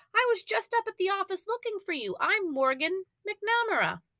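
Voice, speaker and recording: In a put-on character voice, a woman squeaks out her lines with extremely high pitch and an enthusiastic tone, the sound dry and close with no echo. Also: moderate pace. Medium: read story. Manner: bright, enthusiastic.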